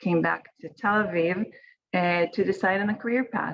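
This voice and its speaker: A woman speaks at a moderate pace. Her pitch is fairly low and her intonation fairly even. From Israel. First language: Hebrew. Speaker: winemaker. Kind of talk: online panel presentation.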